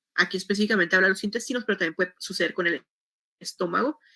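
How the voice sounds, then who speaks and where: This woman talks at a very fast pace with a medium pitch. Her tone is bright and sharp. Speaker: teacher. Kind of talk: lecture.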